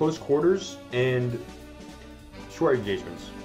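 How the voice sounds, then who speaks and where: Music plays in the background. A man speaks at a fairly slow pace with lively intonation. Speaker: gaming video reviewer. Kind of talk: casual game review commentary.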